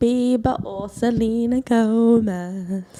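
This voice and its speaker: Very slowly, a woman with a British accent speaks in a fairly high pitch with a dark, mellow tone. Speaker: podcast co-host. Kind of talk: casual chat. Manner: loud.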